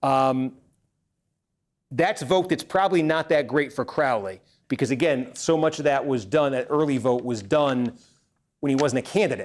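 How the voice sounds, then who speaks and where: Long, frequent pauses break up speech at a moderate pace with ordinary pitch variation, on a very clean recording with a silent background. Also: man, fairly high pitch for a man. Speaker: political livestreamer. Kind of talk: live election night commentary. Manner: halting, many fillers.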